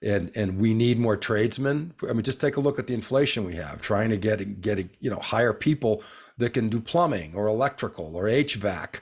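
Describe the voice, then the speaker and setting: A man with an American accent and a normal speaking voice, medium pitch, lively intonation and a moderate pace, in a very clean recording with a silent background. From northeastern US. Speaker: podcast host. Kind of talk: casual interview.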